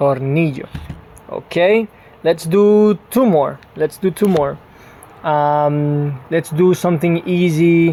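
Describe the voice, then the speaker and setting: Noticeable background noise runs through the clip. The speech moves at a very slow pace. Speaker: Spanish teacher. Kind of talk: online language lesson.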